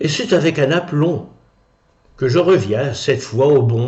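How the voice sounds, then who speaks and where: In a theatrical tone, a man speaks very slowly with a somewhat breathy, fairly high voice and lively intonation. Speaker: stage actor and former opera singer. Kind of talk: one-man show storytelling. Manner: theatrical, humorous.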